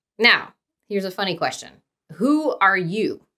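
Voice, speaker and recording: A woman with a Midwestern American accent at a moderate pace, lively in intonation, on a very clean recording with a silent background. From Dayton, Ohio. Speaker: podcast host, nonprofit director. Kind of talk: casual solo podcast intro. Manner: chatty, with many fillers.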